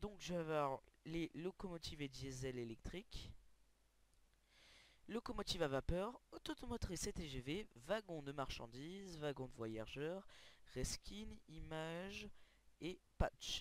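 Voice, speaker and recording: A man speaks at a fairly high pitch and a very slow pace. He leaves long, frequent pauses. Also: lively intonation. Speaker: gaming video creator. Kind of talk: tutorial. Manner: loud.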